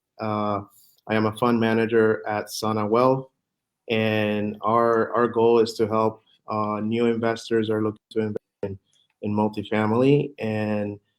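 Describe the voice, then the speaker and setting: With a Spanish accent, a man speaks at a fairly slow pace in a monotone, flat intonation. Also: fairly low pitch for a man. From Puerto Rico. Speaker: real estate fund manager. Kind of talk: interview. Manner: halting, many fillers.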